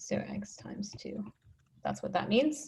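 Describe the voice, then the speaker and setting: A woman speaks with vocal fry. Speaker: mathematician. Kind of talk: lecture.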